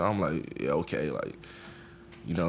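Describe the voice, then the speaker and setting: Some room echo is audible as a man talks at a moderate pace with ordinary pitch variation. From Jamaica, Kingston. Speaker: college football player. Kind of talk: press conference interview. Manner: casual, conversational.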